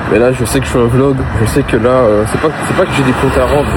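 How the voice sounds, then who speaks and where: Very fast speech with ordinary pitch variation and noticeable background noise. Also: man. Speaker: vlogger. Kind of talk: casual vlog talk to camera. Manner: low energy, hesitant with many fillers.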